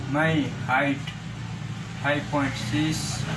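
Over noticeable background noise, a man with a Nepali accent speaks in a fairly high pitch with monotone, flat intonation. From Nepal, Gulmi district. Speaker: job applicant, kitchen helper. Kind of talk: self-introduction for job application. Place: kitchen. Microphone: phone near.

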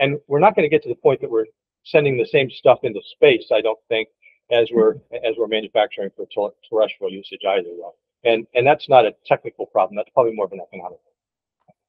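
A man speaks fast at a fairly low pitch, with a slightly husky edge and ordinary pitch variation. The sound is dry and close, with no echo.

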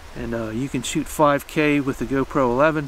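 A man's voice comes through with a dry sound and no echo, with light noise in the background. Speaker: camera reviewer. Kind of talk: casual review talk. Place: forest. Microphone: camera far.

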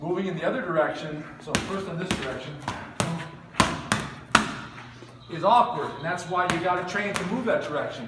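A high-pitched man speaks with long, frequent pauses. Audible room echo and noticeable background noise fill the recording. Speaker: boxing instructor. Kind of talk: tutorial. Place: gym. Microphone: camera far.

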